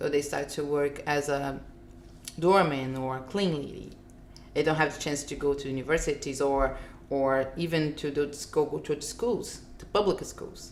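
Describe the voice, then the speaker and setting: With a Portuguese accent, a woman speaks at a moderate pace in a very deep, low pitch, and the room echo is audible. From Brazil, Rio de Janeiro. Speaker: filmmaker. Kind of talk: interview. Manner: animated.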